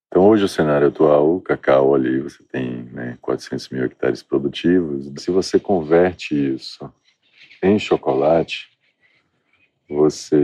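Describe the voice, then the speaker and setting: Very deep and low, a man's dark, mellow voice comes at a fairly slow pace with fairly even intonation and a dry, close sound with no echo. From Bahia, Brazil (Salvador, south Bahia). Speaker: cocoa farmer and chocolate maker. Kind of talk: interview.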